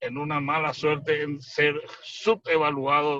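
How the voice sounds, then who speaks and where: A man speaks with a bright, sharp tone and a fairly high pitch. His intonation is monotone and flat. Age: 60s. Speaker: surgeon. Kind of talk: expert panel commentary. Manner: detailed, explanatory.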